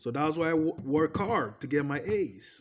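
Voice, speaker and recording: Using very wide pitch swings, a man speaks with a Portuguese accent. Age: 30s. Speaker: vlogger. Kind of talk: personal testimony. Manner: animated; repetitive.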